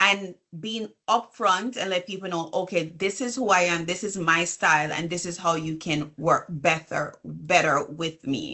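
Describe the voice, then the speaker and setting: A woman with a Jamaican accent speaks at a fairly slow pace in a fairly low voice, with ordinary pitch variation and hardly any pauses. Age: 40s. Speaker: business coach and consultant. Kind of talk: interview conversation.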